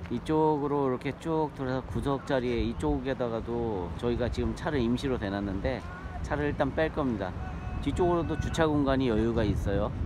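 With lively intonation and a fairly quick pace, a man speaks in a dry sound with no echo against noticeable background noise. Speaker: camper-van travel vlogger. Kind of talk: casual vlog chat. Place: waterside. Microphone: phone near.

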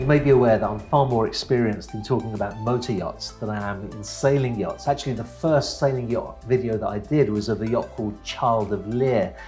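Faint music plays behind a man who talks at a fairly quick pace with ordinary pitch variation. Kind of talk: casual vlog chat. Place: office. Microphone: lapel.

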